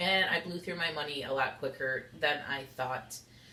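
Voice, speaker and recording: Amid audible room echo and noticeable background noise, a woman speaks at a moderate pace with lively intonation. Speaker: YouTuber. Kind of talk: casual vlog monologue. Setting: sitting on kitchen floor at home.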